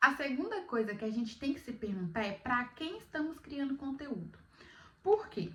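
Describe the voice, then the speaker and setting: Very wide pitch swings in a woman's high voice, at a moderate pace. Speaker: beginner content creator, vlogger. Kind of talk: casual vlog talk to camera.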